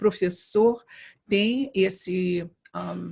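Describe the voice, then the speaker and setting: This woman's voice is somewhat breathy, with a dark, mellow tone and medium pitch. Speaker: education professor. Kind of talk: interview. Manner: halting, with repetitions.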